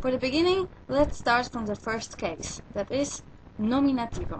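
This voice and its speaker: With a Polish accent, the speaker uses lively intonation at a fairly slow pace. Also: woman. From Poland. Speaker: language teacher. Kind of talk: tutorial.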